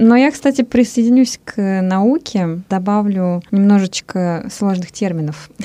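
A woman's dark, mellow tone, with ordinary pitch variation, comes through with a dry, close sound and no echo. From Russia. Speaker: radio host. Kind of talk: casual chat. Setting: studio.

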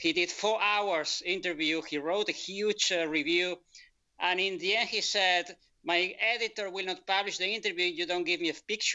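With a Spanish accent, a man speaks at a high pitch with ordinary pitch variation. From Spain. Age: 50s. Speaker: author. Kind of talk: interview. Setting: video call. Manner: halting.

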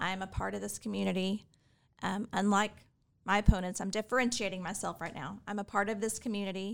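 In a very clean recording with a silent background, a woman with an American accent speaks in a monotone, flat intonation. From Texas, Fort Worth. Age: 40s. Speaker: political candidate and attorney. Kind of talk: interview.

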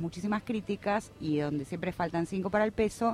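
A woman talks with lively intonation at a moderate pace. Hers is a plain, everyday voice at a medium pitch. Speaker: radio worker and union representative. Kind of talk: radio interview.

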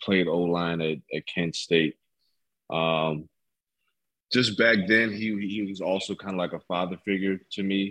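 A man with a very deep, low voice and an American accent, speaking fairly slowly with long, frequent pauses, the sound dry and close with no echo. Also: fairly even intonation. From Ohio, US Midwest. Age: 20s. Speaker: import football player. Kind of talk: casual interview.

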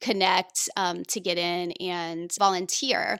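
Someone speaks with a Midwestern American accent on a very clean recording with a silent background. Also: woman. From rural Indiana, US Midwest. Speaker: environmental activist and podcaster. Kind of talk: interview conversation.

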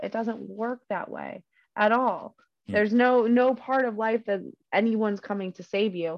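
Her tone passionate, a woman speaks at a moderate pace in a fairly high pitch with ordinary pitch variation. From United States. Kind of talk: casual chat. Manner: passionate, swears casually.

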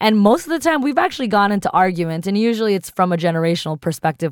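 A woman at a very fast pace in a very clean recording with a silent background. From US East Coast. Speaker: podcast co-host. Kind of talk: casual chat.

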